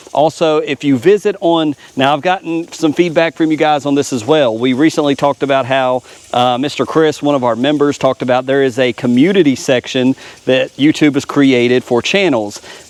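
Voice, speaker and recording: Over noticeable background noise, a man talks at a fairly high pitch with ordinary pitch variation and very even loudness, the sound dry and close with no echo. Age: 40s. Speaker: lawn care YouTuber. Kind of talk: casual vlog talk. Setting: outdoors. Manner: casual, filler-heavy.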